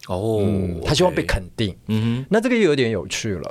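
His pitch sits at a medium level for a man but swings very widely. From Taiwan, Taichung. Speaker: drama professor and actor. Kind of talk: interview conversation.

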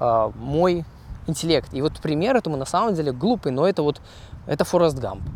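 A man talks at a moderate pace in a fairly high voice. His pitch swings very widely. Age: 20s. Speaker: podcaster, software engineer. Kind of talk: solo monologue podcast. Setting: outdoors, walking. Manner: hesitant, with fillers.

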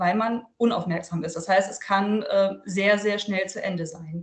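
A woman of medium pitch speaks at a moderate pace with fairly even intonation against noticeable background noise. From northern Germany, Lüneburg Heath. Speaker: author and journalist. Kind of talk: interview.

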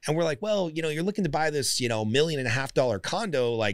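This man speaks with a Californian accent and lively intonation. The recording is very clean, with a silent background. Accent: Californian American. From Southern California (Glendale). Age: 40s. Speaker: podcast host and business coach. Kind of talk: podcast interview. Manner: casual.

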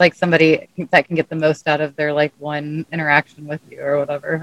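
A woman with an American accent talks at a fairly quick pace in a very deep, low voice. Her delivery is flat and monotone, and the sound is dry and close with no echo. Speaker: podcast co-host. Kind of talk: casual chat.

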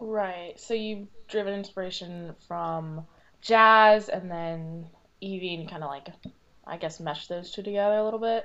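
Speaking in a normal speaking voice, a woman keeps a medium pitch and fairly even intonation at a moderate pace. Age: young. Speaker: podcast host. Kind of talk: show intro and outro; casual interview chat.

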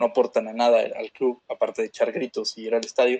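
Someone with a Mexican accent speaks at a fairly quick pace. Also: man. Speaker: sports podcast co-host. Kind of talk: casual chat.

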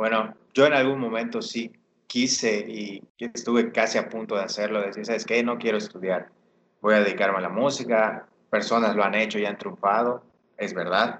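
At a moderate pace, this is an ordinary speaking voice with fairly even intonation. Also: man, medium pitch for a man. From Mexico, Yucatán. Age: 20s. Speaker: urban music artist. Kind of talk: casual interview chat.

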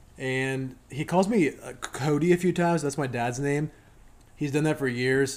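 Over music in the background, a man talks at a moderate pace in an enthusiastic tone with ordinary pitch variation. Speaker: podcast host. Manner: casual, enthusiastic.

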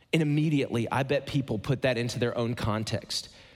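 Here is a plain, everyday voice from a man with an American accent. He keeps a moderate pace with ordinary pitch variation. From Ohio, US Midwest. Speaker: guest pastor. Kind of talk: sermon. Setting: church stage with audience.

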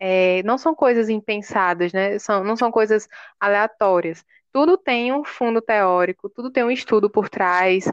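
Against a quiet background, a woman with a normal speaking voice talks at a fairly high pitch and a fairly slow pace, with ordinary pitch variation, in a dry, close sound with no echo. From Paraíba, Brazil (João Pessoa). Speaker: podcast host, university project coordinator. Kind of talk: casual podcast conversation.

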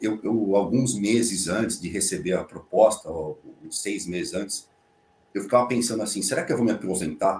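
Speaking at a moderate pace in a normal speaking voice, a man with a fairly low pitch shows ordinary pitch variation and big swings in loudness. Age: 50s. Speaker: fintech technology executive. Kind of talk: casual chat.

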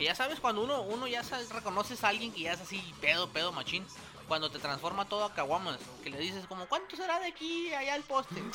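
A man speaks at a very fast pace in a raised, projected voice, his high pitch swinging very widely, with noticeable background noise behind him. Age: 30s. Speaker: podcast co-host. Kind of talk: casual chat. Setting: studio.

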